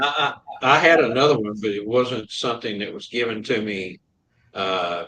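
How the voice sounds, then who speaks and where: A man speaks at medium pitch and a moderate pace with ordinary pitch variation. His tone is bright and sharp, and his loudness swings a lot. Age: 70s. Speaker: talk show co-host. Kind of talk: casual chat.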